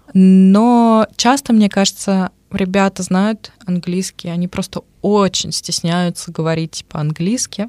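A woman talks at a very slow pace, the sound dry and close with no echo. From Russia, Moscow. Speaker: radio presenter. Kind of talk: casual chat. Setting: studio.

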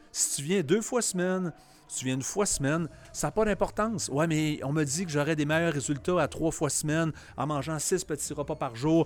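With ordinary pitch variation and a fairly high pitch, a man talks at a moderate pace. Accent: Quebec. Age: 40s. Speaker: CrossFit gym owner. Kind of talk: casual panel discussion.

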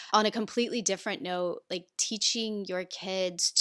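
Against a silent background in a very clean recording, a woman with a Midwestern American accent speaks at medium pitch in a bright, sharp tone. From rural Indiana, US Midwest. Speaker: environmental activist and podcaster. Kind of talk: interview conversation.

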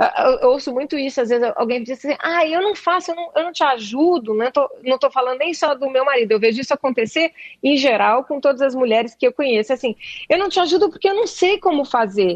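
A woman with a high pitch, lively intonation, and a fairly quick pace. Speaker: actress and playwright. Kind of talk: interview. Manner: halting, many repetitions.

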